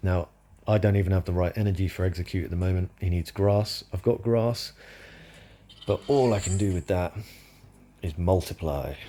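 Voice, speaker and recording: A man with a British accent speaks with a very deep, low pitch in a dark, mellow, somewhat breathy tone, with ordinary pitch variation. His speech has long, frequent pauses. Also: moderate pace. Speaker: gaming commentator. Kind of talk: gameplay commentary. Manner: casual, conversational.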